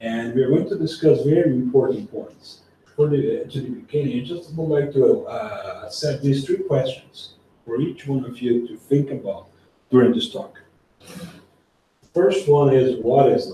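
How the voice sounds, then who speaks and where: A man's fairly high pitch at a fairly slow pace, with ordinary pitch variation, big swings in loudness and audible room echo. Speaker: spiritist lecturer. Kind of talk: lecture. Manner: soft-spoken.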